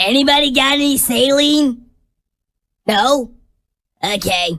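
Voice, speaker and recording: A female-sounding, high-pitched cartoonish character voice talks at a fairly slow pace. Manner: flustered, comic.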